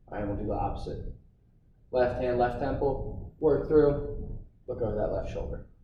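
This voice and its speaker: A man speaks at a moderate pace, stopping often for long pauses. Room echo is audible around his voice. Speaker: fitness instructor. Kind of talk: workout instruction. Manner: casual, encouraging.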